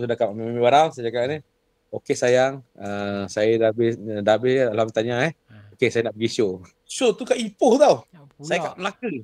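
A man talks at a moderate pace with ordinary pitch variation and big swings in loudness. The sound is dry, with no echo. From Johor, Malaysia. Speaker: singer and vocal coach; vocal coach guest. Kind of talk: casual interview chat. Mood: relaxed, storytelling. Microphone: video call.

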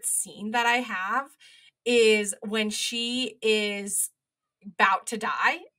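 A natural reading voice with fairly even intonation comes over a quiet background.

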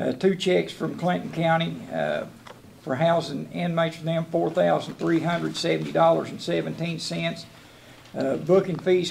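With a Southern US accent, a man talks at a moderate pace over light background noise. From US South. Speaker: jailer. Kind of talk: report to county board. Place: meeting room.

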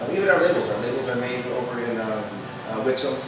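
A man talking fast with lively intonation, with audible room echo and clear background noise. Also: medium pitch for a man.

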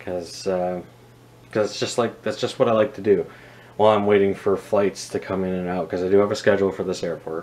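A man with a Canadian accent, fairly low in pitch, monotone and flat, at a very fast pace. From Canada. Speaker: scale model reviewer and airport worker; scale model reviewer. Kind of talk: casual video review. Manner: casual, with many filler words. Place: home room. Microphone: phone near.

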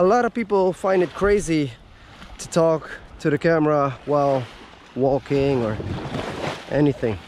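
With lively intonation, a man talks at a moderate pace in a dry sound with no echo and light background noise. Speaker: travel vlogger. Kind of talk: casual vlog chat. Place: beach. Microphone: phone near.

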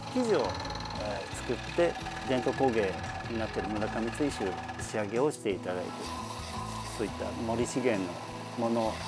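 Over loud music in the background, a man speaks at a fairly quick pace with long, frequent pauses, in a dry sound with no echo. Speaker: employment support facility staff. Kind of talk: interview answer. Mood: calm, polite, friendly. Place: workshop.

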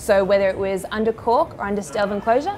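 The speech moves at a fairly quick pace over light background noise. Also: woman. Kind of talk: tutorial. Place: bar.

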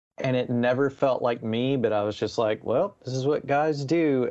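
Speaking in a normal speaking voice, a man with an American accent talks fairly slowly at a medium pitch with ordinary pitch variation. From US South, Nashville, Tennessee. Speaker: musician and counselor. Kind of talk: casual chat.

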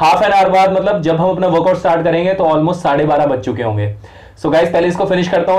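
At a fairly quick pace, a man talks in a high voice with ordinary pitch variation. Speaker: fitness vlogger. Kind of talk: casual vlog chat. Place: home room. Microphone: phone near.

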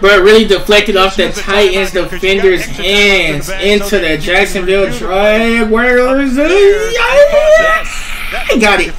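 A man speaks at a very slow pace in a high voice with an upbeat tone and ordinary pitch variation, over noticeable background noise. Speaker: sports reaction YouTuber. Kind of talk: live sports commentary over game highlights, reaction-style. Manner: casual, hyped, upbeat.

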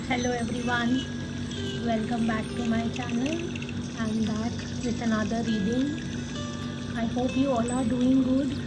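Loud background noise fills the recording. The speech comes at a fairly slow pace with long, frequent pauses. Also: woman. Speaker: tarot card reader. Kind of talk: tarot reading to camera. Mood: warm, caring. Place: home room. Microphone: phone near.

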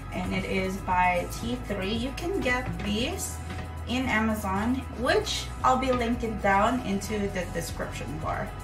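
A woman at a very slow pace over clear background music. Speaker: beauty vlogger. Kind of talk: tutorial. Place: bathroom.

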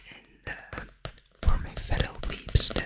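Very slow whispering from a man. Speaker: ASMR creator. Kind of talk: ASMR video talk. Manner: whispered. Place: home room. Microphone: studio mic.

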